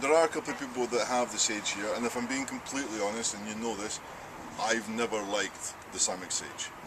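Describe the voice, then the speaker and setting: A man talks at a very fast pace in a Scottish accent. Background noise is noticeable. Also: medium pitch for a man, fairly even intonation. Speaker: archery range host. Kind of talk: casual chat.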